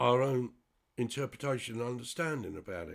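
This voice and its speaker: A man with an English accent talks at a fairly slow pace in a medium pitch, on a very clean recording with a silent background. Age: 60s. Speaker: spiritual commentator. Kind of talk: monologue. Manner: halting.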